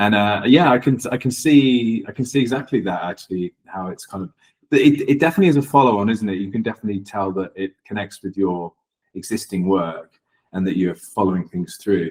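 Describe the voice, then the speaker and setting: With a normal speaking voice, a man talks fairly quickly in a fairly low pitch and with lively intonation. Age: 40s. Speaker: interviewer. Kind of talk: interview.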